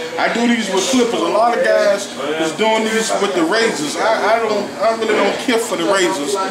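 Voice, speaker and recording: A man at a moderate pace with ordinary pitch variation, over loud background noise. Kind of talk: casual explanation while working. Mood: playful, boastful. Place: shop. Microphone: phone near.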